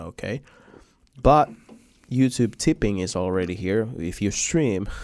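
This speaker has a Finnish accent. The pace is fairly slow. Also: man. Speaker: podcast host. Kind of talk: casual interview chat.

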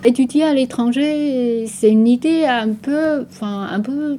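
A woman speaks over noticeable background noise. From Taiwan. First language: Taiwanese Hokkien, also Mandarin (speaking French). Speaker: boutique owner and artist. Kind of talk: radio interview portrait. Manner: halting, many hesitations and repetitions.

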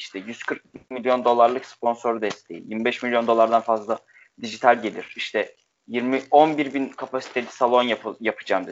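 A man talks in an ordinary speaking voice. His pitch is medium and his pace moderate. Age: 20s. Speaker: sports writer. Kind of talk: casual panel discussion.

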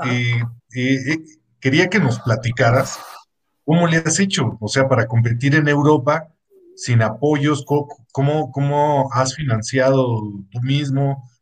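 This man talks at a fairly slow pace with medium pitch and ordinary pitch variation. His speech has long, frequent pauses. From Mexico, Estado de México. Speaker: podcast co-host. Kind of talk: casual chat.

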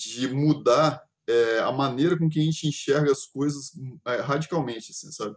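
A man with a normal speaking voice, fairly high pitch, a fairly slow pace and fairly even intonation. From Brazil, Espírito Santo (Vitória). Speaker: podcast host. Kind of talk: casual chat.

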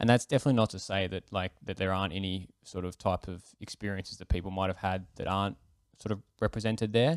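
A man with an Australian accent speaks at a very fast pace in a very deep, low voice with fairly even intonation. The recording is very clean, with a silent background. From Australia, Melbourne. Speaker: podcast co-host. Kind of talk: casual chat.

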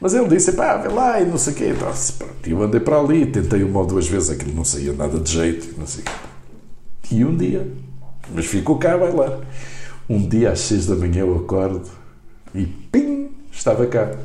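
Noticeable background noise and audible room echo surround a man who speaks at a moderate pace with very wide pitch swings. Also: fairly low pitch for a man. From Angola (Luanda). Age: 60s. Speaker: journalist and poet. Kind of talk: casual interview.

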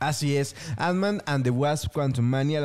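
Speaking fairly high with ordinary pitch variation, a man keeps a moderate pace. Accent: Mexican. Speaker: podcast co-host. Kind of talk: casual chat.

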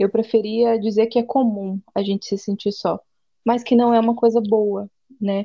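The intonation is monotone and flat. Delivery moves at a moderate pace. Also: woman, fairly high pitch for a woman. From interior of São Paulo state, Brazil. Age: 20s. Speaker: psychoanalyst and missionary. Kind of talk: casual chat.

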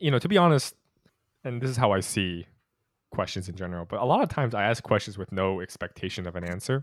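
This man talks at a very fast pace in a fairly low pitch. His intonation is lively. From California, US; born in Utah. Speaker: student podcast host. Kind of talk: interview conversation. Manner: casual, laughs often.

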